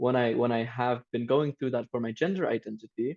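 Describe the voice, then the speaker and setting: A man speaks in a Turkish Cypriot accent at a moderate pace. The sound is dry and close, with no echo. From Cyprus. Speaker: youth podcast panelist, student. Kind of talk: casual discussion podcast. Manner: halting, with repetitions and fillers.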